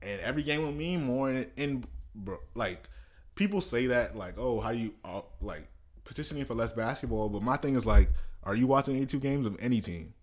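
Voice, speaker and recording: This man has a plain, everyday voice at a medium pitch. He talks at a fairly quick pace with lively intonation. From Prince George's County, Maryland (DC area). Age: 20s. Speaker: sports podcast host. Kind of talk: casual chat.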